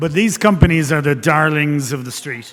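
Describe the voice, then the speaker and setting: A fairly high-pitched man with an Irish accent. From Ireland. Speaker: investment banker. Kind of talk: conference talk. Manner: hesitant, many fillers.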